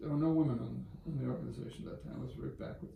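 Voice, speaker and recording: Audible room echo surrounds a man's dark, mellow voice with vocal fry. He has an American accent and a fairly high pitch. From Boston area, Massachusetts. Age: 70s. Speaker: business executive and philanthropist. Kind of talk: interview storytelling.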